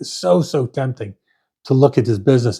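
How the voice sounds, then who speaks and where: Dry and close with no echo, a man's somewhat breathy voice with a dark, mellow tone moves at a fairly quick pace. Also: very clean recording, silent background. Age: 60s. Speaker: firewood business owner, retired painting contractor. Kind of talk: casual monologue to camera. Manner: halting, with many repeats and fillers; conversational.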